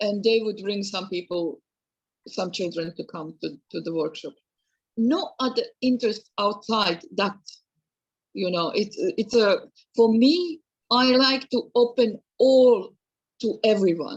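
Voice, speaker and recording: A woman speaks at a fairly slow pace with long, frequent pauses. Her fairly high, somewhat breathy voice has lively intonation. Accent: Serbian. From Serbia. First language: Serbian. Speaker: museum educator. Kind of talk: Q&A discussion. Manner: halting, hesitant.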